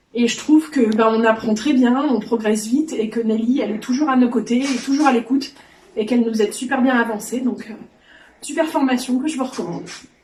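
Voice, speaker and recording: A woman talks at a very fast pace in a high pitch with fairly even intonation, over noticeable background noise. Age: 40s. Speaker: sewing trainee. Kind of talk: testimony.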